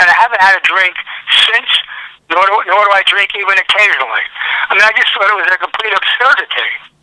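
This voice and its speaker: A man with a New York accent talks at a very fast pace and high pitch, with fairly even intonation and long, frequent pauses. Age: 70s. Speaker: sports fan caller. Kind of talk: phone interview. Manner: halting with repetitions.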